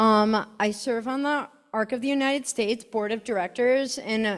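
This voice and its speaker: This woman has an unremarkable speaking voice, fairly high in pitch, with an American accent. She talks at a moderate pace on a very clean recording with a silent background. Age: 30s. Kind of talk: conference presentation.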